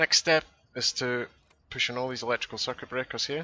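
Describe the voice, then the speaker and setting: A man speaks in a Scottish accent. His pace is fairly quick. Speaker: flight sim tutorial maker. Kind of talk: tutorial. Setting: voice over on screen recording.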